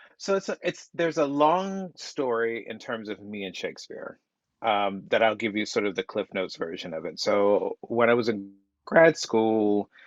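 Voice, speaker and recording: A medium-pitched man with a slight Southern US accent, very wide pitch swings and a moderate pace, in a dry, close sound with no echo. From US South. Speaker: playwright. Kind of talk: casual chat.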